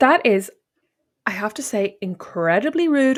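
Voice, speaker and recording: A woman with an Irish accent speaks with lively intonation. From Ireland. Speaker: podcast co-host. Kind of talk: casual chat.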